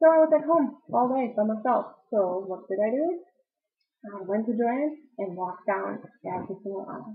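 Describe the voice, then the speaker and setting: Her voice is fairly high in pitch, with a slight German accent. This woman's pitch swings very widely. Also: moderate pace. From Germany. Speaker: knitting videocaster. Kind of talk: casual vlog talk. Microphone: poor camera, audio out of sync.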